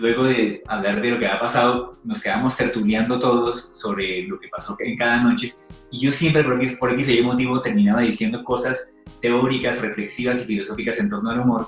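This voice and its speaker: Over music in the background, a man with a Colombian accent talks at a fairly quick pace, at medium pitch with ordinary pitch variation. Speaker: stand-up comedian. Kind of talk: podcast interview answer.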